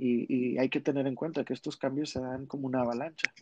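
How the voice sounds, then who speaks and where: The speech has a monotone, flat intonation. It sounds dry and close, with no echo. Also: man. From Monterrey, Mexico. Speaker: drag artist. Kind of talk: casual chat.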